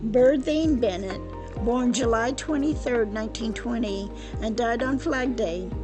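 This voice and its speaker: With music in the background, a woman with a fairly high pitch speaks at a fairly slow pace and ordinary pitch variation. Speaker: former college instructor. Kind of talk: cemetery history narration.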